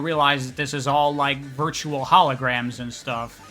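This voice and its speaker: Man's voice with ordinary pitch variation and music in the background. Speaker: video game story retrospective creator. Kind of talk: casual commentary narration. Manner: casual, informal, profane.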